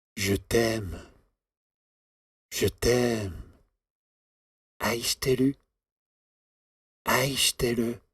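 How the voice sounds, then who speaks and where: A man speaks very slowly at a medium pitch, with long, frequent pauses. His voice is somewhat breathy, with fairly even intonation and very even loudness. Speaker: sound effects voice recording. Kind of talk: recorded voice samples. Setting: recording studio.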